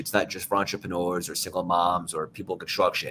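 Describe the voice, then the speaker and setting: A man speaks at a fairly quick pace with an American accent. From New York. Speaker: motivational speaker and author. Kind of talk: interview. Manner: animated.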